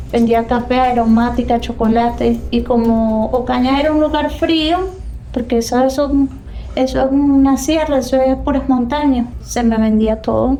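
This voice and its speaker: In a Venezuelan accent, a woman with a high pitch speaks at a fairly slow pace with very even loudness and fairly even intonation, amid audible room echo and noticeable background noise. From Venezuela, San Cristóbal (Táchira). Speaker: immigrant telling her story. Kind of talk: interview testimony.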